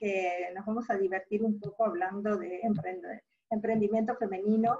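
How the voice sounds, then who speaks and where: A woman is talking. Her voice sits fairly high. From Argentina. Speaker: business school dean and entrepreneurship professor. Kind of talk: webinar talk. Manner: hesitant with fillers.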